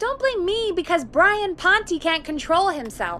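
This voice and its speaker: Amid clear background noise, a woman does a squeaky put-on character voice at an extremely high pitch, moving at a moderate pace with very wide pitch swings. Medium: video game. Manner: steady, calming.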